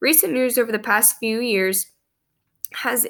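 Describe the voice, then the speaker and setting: On a very clean recording with a silent background, a woman speaks with vocal fry. Her tone is bright and sharp, and her pitch varies in an ordinary way. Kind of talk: prepared talk on social issues.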